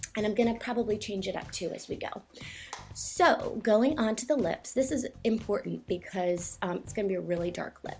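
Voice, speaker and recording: Fairly quick talking with ordinary pitch variation runs over music in the background. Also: woman, fairly high pitch for a woman. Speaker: makeup tutorial vlogger. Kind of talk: tutorial. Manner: fast; casual, filler-heavy.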